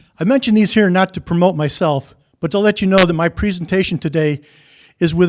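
A man with an upstate New York accent talks very fast at a high pitch with ordinary pitch variation. The sound is dry and close, with no echo. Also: very clean recording, silent background. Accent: US Northeast (upstate New York). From New York State. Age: 70s. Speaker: public hearing commenter, retired landscape architect. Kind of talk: public comment. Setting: public hearing.

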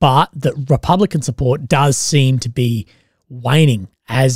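Over a quiet background, a somewhat breathy voice moves at a fairly slow pace with fairly even intonation and a dry sound with no echo. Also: man. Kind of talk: commentary. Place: home room. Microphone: studio mic.

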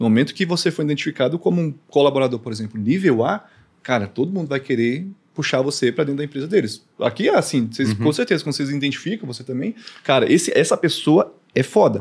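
Lively in intonation, a man speaks at a very fast pace and a fairly high pitch. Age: 30s. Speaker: content creator. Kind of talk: casual chat. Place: studio. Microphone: studio mic.

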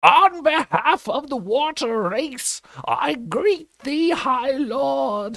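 A put-on character voice with a high pitch and a hissing sound, spoken at a very slow pace. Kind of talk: formal, archaic greeting.

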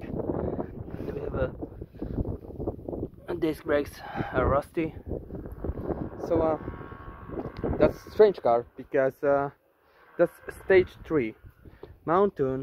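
Very slow speech with long, frequent pauses, a dry sound with no echo and noticeable background noise. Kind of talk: casual walkaround commentary. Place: street. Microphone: phone near.

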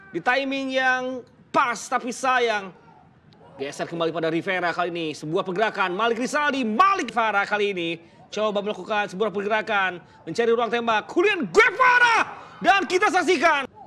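Over noticeable background noise, a raised, projected voice moves at a fairly quick pace with very wide pitch swings. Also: man, high pitch for a man. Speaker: football commentator. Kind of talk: live football commentary. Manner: fast, excitable play-by-play delivery with sudden exclamations; rapid, breathless name-heavy narration that builds tension.

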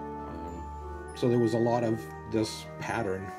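A man speaks with clear music in the background. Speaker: miniature painter; military veteran. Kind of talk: tutorial narration. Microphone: camera far.

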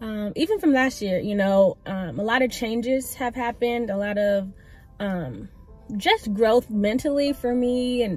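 Faint music plays in the background as a woman talks at a fairly slow pace in a high pitch, with a dry sound and no echo. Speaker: vlogger. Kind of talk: casual vlog chat. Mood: warm, reflective. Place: car. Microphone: phone near.

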